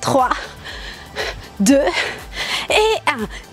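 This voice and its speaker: Faint background music behind a woman speaking. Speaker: fitness instructor. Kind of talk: workout instruction with counting. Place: garden.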